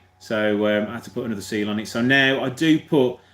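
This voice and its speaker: This man talks with a Birmingham accent. His pitch moves in an ordinary way. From Birmingham, England. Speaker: car mechanic YouTuber. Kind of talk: live stream Q&A chat. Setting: live video stream. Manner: fast.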